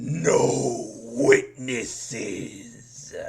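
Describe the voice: A man puts on a growling character voice, with audible echo around it.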